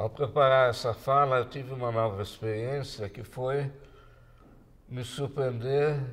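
The man's voice is somewhat breathy. He speaks at a fairly slow pace with long, frequent pauses. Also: fairly even intonation, big swings in loudness. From Brazil. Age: 80s+. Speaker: physicist and science communicator. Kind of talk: talk to an audience. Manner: halting. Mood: reflective, reminiscing. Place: home room.

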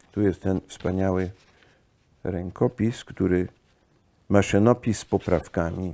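A man with a very deep, low pitch speaks at a very slow pace with fairly even intonation. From US (California) and France. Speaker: son of a famous poet; guest. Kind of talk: casual conversation on a guided tour; interview conversation, reminiscing. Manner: halting. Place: home room.

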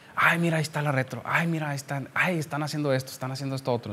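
Words tumble out of a man at a very fast pace. The intonation rises and falls in a lively way. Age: 30s. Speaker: civil engineer, surveyor; podcast guest. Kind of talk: casual chat. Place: office. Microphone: studio mic.

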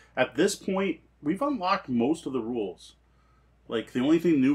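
A man talks at a moderate pace with lively intonation. His voice has a slightly husky edge.

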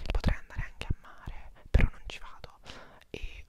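Whispering with an intense tone, a man speaks over light background noise. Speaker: vlogger. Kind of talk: casual vlog chat. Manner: intense close-mic whisper. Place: home room. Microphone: lapel.

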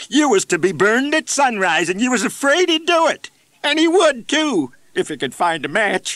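Putting on a character voice in a rural American accent, a man whines in an anxious tone at a moderate pace, his pitch swinging very widely, the sound dry and close with no echo. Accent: folksy rural American grammar. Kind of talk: comic storytelling. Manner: anxious, pleading, whining.

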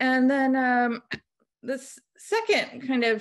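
A quiet background behind a woman with an American accent. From Oklahoma, US. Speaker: painter and art instructor; art instructor. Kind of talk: artist presentation. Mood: reflective, personal. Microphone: video call.

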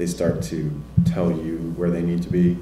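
With an American accent, the speaker has a dark, mellow tone and ordinary pitch variation, with audible room echo and light background noise. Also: man. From US South, Nashville, Tennessee; Tennessee. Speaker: poet. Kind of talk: panel Q&A discussion. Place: classroom. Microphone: handheld.

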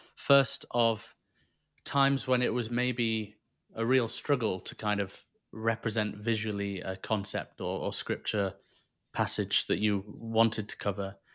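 A man's medium-pitched voice, fairly slow and with fairly even intonation, over a quiet background. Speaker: podcast host. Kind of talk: casual interview. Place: home room. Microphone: studio mic.

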